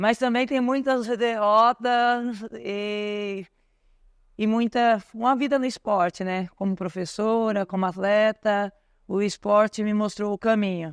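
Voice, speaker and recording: In a dry, close sound with no echo and a quiet background, a woman speaks at a very slow pace with a fairly high pitch. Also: fairly even intonation. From Brazil, São Paulo outskirts. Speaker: ultramarathon runner and coach. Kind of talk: podcast interview. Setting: store event with audience.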